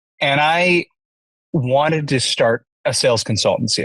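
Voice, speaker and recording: A man with a Canadian accent, somewhat breathy and with lively intonation, in a dry, close sound with no echo against a quiet background. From Canada. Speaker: entrepreneur, CEO. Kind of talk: podcast interview.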